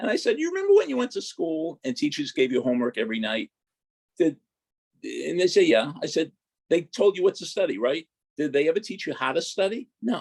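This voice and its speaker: A man with a Boston accent at a fairly quick pace, in a dry, close sound with no echo. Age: 70s. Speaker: sports psychology professor. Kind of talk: casual interview.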